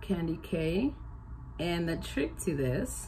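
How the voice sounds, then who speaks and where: Audible room echo surrounds a somewhat breathy voice. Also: woman. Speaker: beauty vlogger. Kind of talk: makeup tutorial. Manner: casual, chatty.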